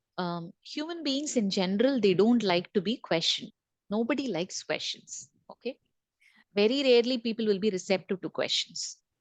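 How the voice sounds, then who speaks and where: A woman's fairly high voice with lively intonation at a moderate pace. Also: dry, close sound with no echo. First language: not English. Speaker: corporate trainer. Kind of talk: online training session. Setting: video call with screen share.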